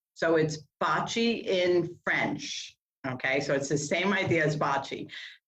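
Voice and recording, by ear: Speaking slowly in an American accent, a woman with a low pitch and a fairly bright tone is heard amid audible room echo. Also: ordinary pitch variation.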